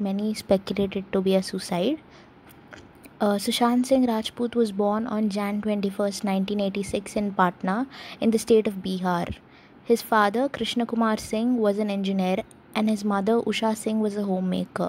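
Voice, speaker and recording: A woman with a medium-pitched, somewhat breathy voice talks at a moderate pace in a monotone, flat way. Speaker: commentary youtuber. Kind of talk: commentary talk to camera. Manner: stammering.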